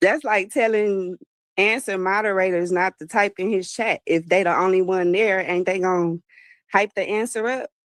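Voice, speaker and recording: Delivered at a moderate pace with fairly even intonation, this voice has a Texas accent and a dry, close sound with no echo. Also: woman, medium pitch for a woman. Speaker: chat moderator. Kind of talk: casual chat.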